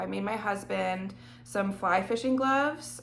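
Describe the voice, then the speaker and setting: Audible room echo around a woman's voice at medium pitch. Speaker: knitting vlogger. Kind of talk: casual chat.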